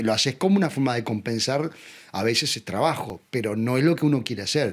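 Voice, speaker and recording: Against noticeable background noise, a man talks at a fairly quick pace and a medium pitch with lively intonation. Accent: Uruguayan. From Uruguay. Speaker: actor. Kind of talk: interview answer.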